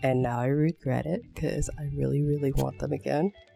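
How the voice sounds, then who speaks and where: Fairly quick, mumbled speech with music in the background. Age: 20s. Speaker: artist. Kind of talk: casual talk to camera. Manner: mumbling.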